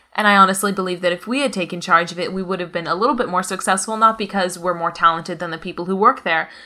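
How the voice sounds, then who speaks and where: The voice has a bright, sharp tone and fairly even intonation. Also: woman. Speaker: co-author and marketing head. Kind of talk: casual informative podcast talk.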